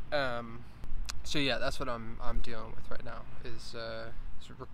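Against noticeable background noise, a man speaks at a moderate pace, the sound dry with no echo. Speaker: first-time vlogger. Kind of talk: casual talk to camera. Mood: relaxed, reflective. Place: open country. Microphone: phone near.

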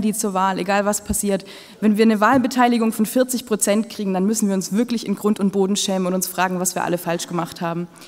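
Talking at a very fast pace with hardly any pauses, a woman keeps a fairly even intonation. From Ulm, Swabia, southern Germany; Swabia. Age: 20s. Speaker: mayoral candidate; candidate. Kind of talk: campaign speech. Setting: public event with audience. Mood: earnest, lightly humorous. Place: hall. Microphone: podium.

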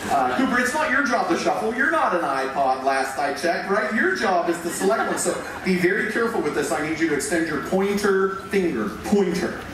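A man speaks at a fairly quick pace with hardly any pauses. Strong room echo and noticeable background noise fill the recording. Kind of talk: stage performance patter. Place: stage.

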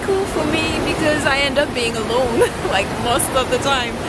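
A woman's voice, dry with no echo, with music in the background. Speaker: travel vlogger. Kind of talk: casual vlog chat. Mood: playful, laughing. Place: waterside. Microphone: phone near.

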